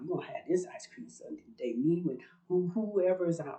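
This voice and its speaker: A woman talks at a fairly quick pace in a medium pitch, somewhat breathy and with lively intonation. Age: 60s. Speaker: religious video blogger. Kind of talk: personal testimony monologue. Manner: talkative, rambling.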